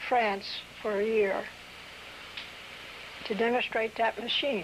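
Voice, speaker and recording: Against noticeable background noise, a woman with an American accent speaks fairly slowly at a fairly high pitch with fairly even intonation. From Delaware, US. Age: 80s+. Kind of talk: oral history interview answer.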